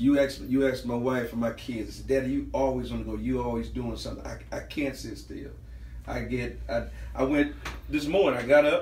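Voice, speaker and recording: A man talks at a fairly quick pace with big swings in loudness. Light background noise and audible room echo are present. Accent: American. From US South, Lake Charles, Louisiana; Louisiana. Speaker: podcast panelist. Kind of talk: casual chat. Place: home room. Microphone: camera far.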